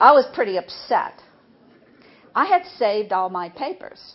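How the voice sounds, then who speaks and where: A woman with an American accent at a moderate pace, her pitch swinging very widely. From New Orleans area, Louisiana. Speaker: academic speaker on aging and the brain. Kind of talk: talk to an audience.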